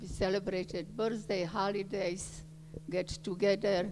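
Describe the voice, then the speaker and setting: With a Slovak accent, the speaker talks at a fairly slow pace with vocal fry. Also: woman. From Slovakia. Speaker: Holocaust survivor. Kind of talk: testimony.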